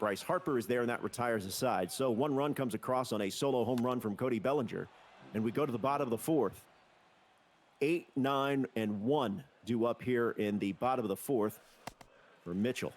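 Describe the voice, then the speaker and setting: Using a normal speaking voice, a man talks with ordinary pitch variation and very even loudness. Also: medium pitch for a man. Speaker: play-by-play shoutcaster. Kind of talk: live sports play-by-play commentary.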